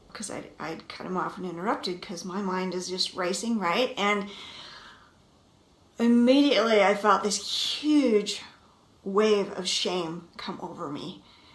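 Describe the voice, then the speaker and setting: Over noticeable background noise and audible room echo, a woman talks at a medium pitch and a fairly slow pace, with ordinary pitch variation and big swings in loudness. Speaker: marriage coach. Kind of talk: vlog monologue.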